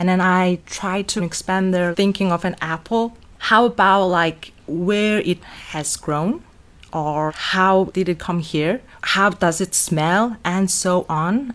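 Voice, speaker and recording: In a Mongolian accent, a woman speaks at a very slow pace. Her pitch is medium, with ordinary pitch variation. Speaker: art teacher and fashion designer. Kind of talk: interview.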